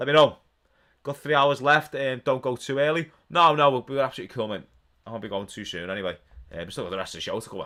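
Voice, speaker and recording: The voice moves at a very fast pace in a Liverpool accent, with lively intonation, a bright, sharp tone and vocal fry. The recording is very clean with a silent background. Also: man, medium pitch for a man. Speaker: wrestling watch-along streamer. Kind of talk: live stream watch-along commentary and chat. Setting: live stream. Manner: animated.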